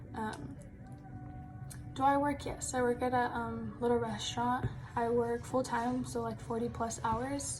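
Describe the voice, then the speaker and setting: A woman's fairly slow speech with long, frequent pauses, audible room echo and noticeable background noise. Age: 20s. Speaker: college student. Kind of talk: self-introduction video. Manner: casual, many fillers.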